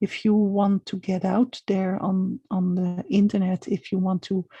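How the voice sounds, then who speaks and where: A woman speaks fairly slowly at a medium pitch with a non-native accent, her intonation flat and monotone and her tone dark, mellow and somewhat breathy. The background is quiet, and the sound is dry and close with no echo. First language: not English. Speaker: small business coach. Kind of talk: live video monologue. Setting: live stream at home. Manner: halting.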